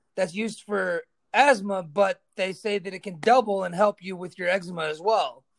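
Her loudness swings widely as this woman, with an unremarkable speaking voice and medium pitch, talks at a moderate pace with ordinary pitch variation. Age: 30s. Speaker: podcast host. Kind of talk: casual chat.

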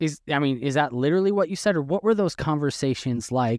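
A man uses a normal speaking voice at a fairly quick pace with lively intonation. The sound is dry and close, with no echo. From Wisconsin. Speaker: podcast host, former journalist. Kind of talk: interview.

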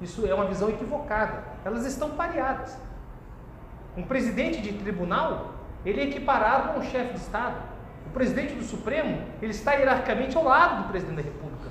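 A woman speaks very fast in a high voice with lively intonation. The room echoes audibly, and background noise is noticeable. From Brazil, Santa Catarina. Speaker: university lecturer. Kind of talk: lecture.

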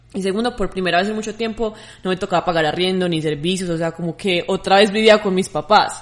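A woman talking at a very fast pace, her intonation fairly even. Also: medium pitch for a woman. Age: young. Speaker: podcast co-host. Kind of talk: casual chat.

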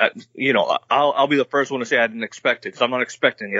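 With an American accent, a man speaks in a plain, everyday voice at a medium pitch and a fairly quick pace. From Massachusetts, Boston area (Quincy). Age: 30s. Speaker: caller, sports fan. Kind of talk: casual chat. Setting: video call.

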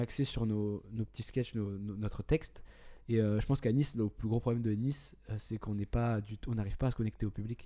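A man speaks with a dark, mellow tone and ordinary pitch variation. His pace is fairly quick. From southern France, Istres. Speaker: stand-up comedian. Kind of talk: casual chat.

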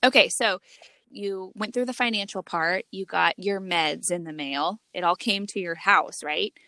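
Recorded dry and close with no echo, a woman at medium pitch speaks at a fairly slow pace in a bright, sharp tone with ordinary pitch variation. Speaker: podcast co-host. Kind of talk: casual chat. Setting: remote recording from a closet.

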